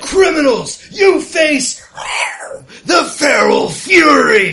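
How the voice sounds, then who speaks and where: A put-on character voice shouts at a high pitch. The pace is very slow. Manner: snarling, ferocious.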